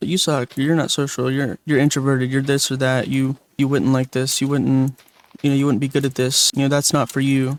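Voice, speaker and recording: A man speaks in a relaxed tone at a fairly high pitch. The sound is dry and close, with no echo. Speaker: video commentator. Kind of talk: casual commentary monologue over gameplay. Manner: halting, many pauses and restarts; relaxed, chill.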